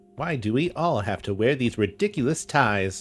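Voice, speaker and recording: Over faint music in the background, a man does a nasal put-on character voice at a medium pitch, with very wide pitch swings and a moderate pace. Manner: eager, geeky.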